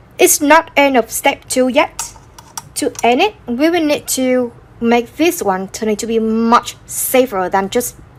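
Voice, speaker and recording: Against noticeable background noise, a woman speaks at a high pitch and a fairly slow pace with lively intonation. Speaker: crochet tutorial creator. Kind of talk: tutorial. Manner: halting.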